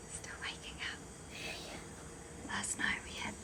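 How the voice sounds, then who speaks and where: Someone is whispering at a fairly slow pace. There is noticeable background noise. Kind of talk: casual vlog.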